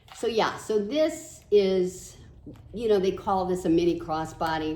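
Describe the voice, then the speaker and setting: With music in the background and audible room echo, the speech moves at a fairly slow pace in an animated tone with lively intonation. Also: woman, medium pitch for a woman. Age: 70s. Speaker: doll collector and video creator. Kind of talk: casual show-and-tell haul video. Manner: chatty, animated.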